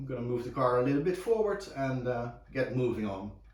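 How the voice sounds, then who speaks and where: Over noticeable background noise and audible room echo, a man talks. He has a medium pitch and a moderate pace. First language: Dutch. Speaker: car restoration hobbyist. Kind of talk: tutorial. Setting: home garage. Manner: halting, many fillers.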